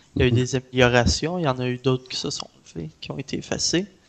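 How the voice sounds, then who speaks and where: This man speaks at a medium pitch with a Canadian French accent. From Canada. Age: 20s. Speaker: indie video game developer. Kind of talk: interview.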